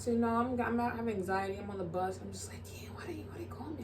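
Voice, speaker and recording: Audible room echo and noticeable background noise are present. A woman talks. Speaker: vlogger. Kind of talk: storytime vlog. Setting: at home with roommates. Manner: casual, filler-heavy.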